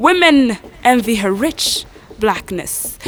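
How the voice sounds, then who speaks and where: Music plays in the background. A woman speaks at a high pitch with lively intonation. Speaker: spoken word poet. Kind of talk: poetry reading.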